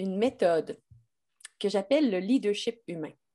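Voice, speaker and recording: Against a quiet background, a woman with a slight Québécois accent speaks at medium pitch in a dark, mellow tone with lively intonation. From Quebec, Lac-Beauport near Quebec City. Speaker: business consultant and leadership coach. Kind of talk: interview.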